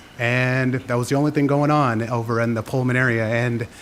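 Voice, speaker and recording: Against noticeable background noise, a man talks at a moderate pace with medium pitch and fairly even intonation. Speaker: public commenter, teacher. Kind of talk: public comment at council meeting. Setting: city council chamber. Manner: unprepared, halting.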